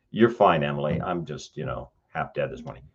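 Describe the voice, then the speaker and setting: This is a man speaking with a Western US accent. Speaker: professor. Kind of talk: lecture, reviewing student writing aloud. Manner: halting, frequent self-corrections.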